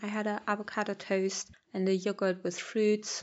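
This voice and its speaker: A woman speaks with a German accent. Her pace is moderate. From Germany, Berlin. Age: 30s. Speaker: podcast host. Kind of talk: solo podcast monologue. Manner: casual, chatty.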